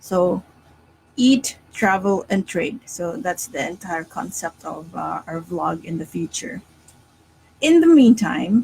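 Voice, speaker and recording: At a very slow pace with long, frequent pauses, a woman speaks at a medium pitch in a dark, mellow, somewhat breathy tone, with lively intonation and big swings in loudness. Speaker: stock market analyst. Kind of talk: live stream market analysis. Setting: live stream.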